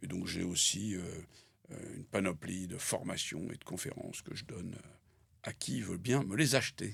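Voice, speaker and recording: A man with a very deep, low pitch speaks at a moderate pace. His intonation is lively, with big swings in loudness. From France (born in Algeria, schooled in Paris). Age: 60s. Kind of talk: interview. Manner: hesitant with frequent fillers.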